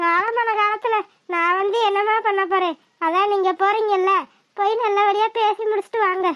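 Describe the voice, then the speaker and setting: The cartoonish character voice runs at a fairly slow pace, with monotone, flat intonation and very even loudness. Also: woman, extremely high pitch for a woman. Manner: calm, motherly.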